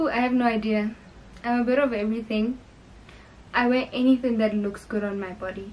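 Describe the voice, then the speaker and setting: With a South African accent, a woman talks at a fairly quick pace in a fairly high voice, her intonation fairly even and her pauses long and frequent. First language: Sepedi. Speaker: YouTuber. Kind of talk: casual get-to-know-me Q&A vlog. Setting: filming in her bedroom. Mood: cheerful, relaxed. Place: home room. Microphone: camera far.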